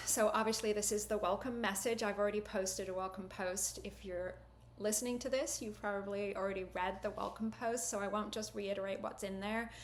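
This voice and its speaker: The speech moves at a fairly quick pace with fairly even intonation and hardly any pauses, amid audible room echo and noticeable background noise. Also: woman. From Britain. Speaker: university lecturer. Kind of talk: course welcome message.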